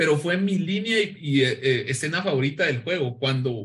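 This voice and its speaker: A man speaks with a Guatemalan accent. His pitch swings very widely. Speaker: pop culture and comics commentator. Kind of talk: casual chat.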